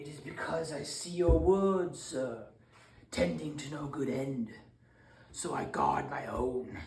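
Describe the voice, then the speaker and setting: In a put-on character voice, a man speaks fairly slowly at a fairly high pitch, with lively intonation, big swings in loudness and a slight echo. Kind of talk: classical tragedy declamation. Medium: stage play. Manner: heavy, sorrowful.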